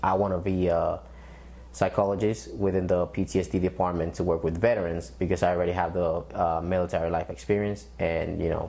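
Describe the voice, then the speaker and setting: Speaking at a fairly quick pace with a Spanish accent, a man has a very deep, low pitch, a dark, mellow tone, vocal fry, very even loudness and ordinary pitch variation. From Dominican Republic, then Bronx New York. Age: 20s. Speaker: military veteran and student. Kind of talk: interview testimony.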